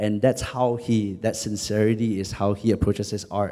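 A man speaks at a moderate pace in a dark, mellow tone, his pitch medium, with a Singaporean accent. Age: 20s. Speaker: spoken word poet. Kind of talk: panel discussion. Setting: stage with audience.

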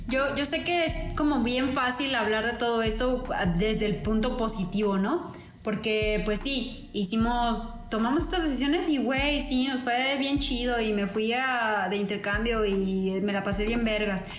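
Over noticeable background noise and audible room echo, a woman speaks with a fairly high pitch and very even loudness. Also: ordinary pitch variation, fairly slow pace. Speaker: podcast co-host, engineer. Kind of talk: casual chat. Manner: halting, many repetitions.

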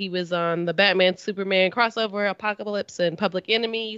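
She has an ordinary speaking voice at a medium pitch, with fairly even intonation. The woman keeps a moderate pace. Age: young. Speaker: podcast co-host. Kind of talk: casual chat.

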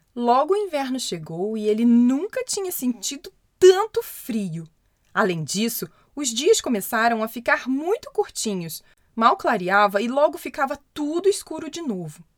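Speaking at a fairly slow pace, a woman with a high pitch lets her voice swing very widely in pitch. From Brazil. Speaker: children's storyteller podcaster. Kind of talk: reading aloud a children's story.

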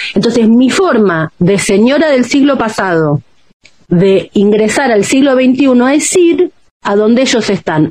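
Keeping her loudness very even, a woman with a fairly high pitch speaks fairly slowly, her pitch swinging very widely. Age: 50s. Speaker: journalist and author. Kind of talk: interview.

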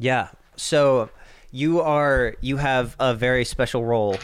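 A man speaks at a very slow pace. His intonation stays fairly even. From US South (Swainsboro, Georgia). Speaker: podcast host. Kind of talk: casual chat.

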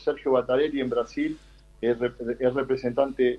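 A man's unremarkable speaking voice, medium in pitch with ordinary pitch variation, at a fairly slow pace. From Argentina, Buenos Aires west (Ciudadela). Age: 40s. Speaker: martial artist and kickboxer. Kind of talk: interview. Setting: remote call.

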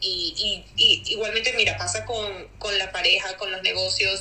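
Noticeable background noise runs through the clip. Over it, a woman talks at a moderate pace. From Venezuela. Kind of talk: interview.

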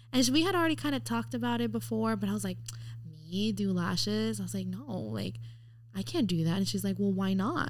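A woman speaks at a very fast pace, with audible room echo around her voice. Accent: American. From Mexico City-born, raised in the US from age four. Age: 20s. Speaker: eyelash technician. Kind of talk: casual chat.

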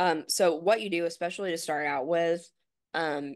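A plain, everyday voice from a woman, fairly low in pitch, over a quiet background. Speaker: podcast co-host. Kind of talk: guided meditation. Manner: calm, slow, instructional.

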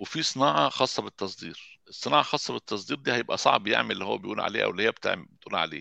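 Very fast delivery with hardly any pauses and a dry, close sound with no echo. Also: man. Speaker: garment industry engineer and photographer. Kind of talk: interview.

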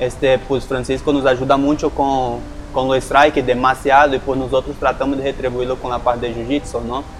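Noticeable background noise surrounds a man speaking fairly quickly with a Portuguese accent. His medium-pitched delivery is monotone and flat. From Brazil, Manaus. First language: Portuguese (speaking Spanish). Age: 20s. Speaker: mixed martial arts fighter. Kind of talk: interview.

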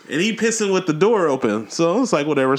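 Over noticeable background noise, a man speaks very fast at a high pitch with very wide pitch swings. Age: 30s. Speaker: podcast host and DJ. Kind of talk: casual chat. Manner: animated.

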